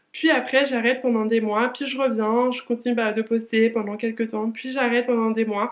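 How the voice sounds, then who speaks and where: Against noticeable background noise, a woman with a fairly high pitch talks at a moderate pace in a monotone, flat intonation, with hardly any pauses. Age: 20s. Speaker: lifestyle vlogger. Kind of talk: casual vlog monologue. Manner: hesitant, many fillers.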